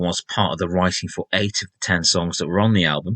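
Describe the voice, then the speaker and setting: A man's very deep, low voice with a slight Sheffield accent, a bright, sharp tone and ordinary pitch variation, recorded dry and close with no echo against a quiet background. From Sheffield, northern England. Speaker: rock music podcaster, former music journalist. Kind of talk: podcast monologue.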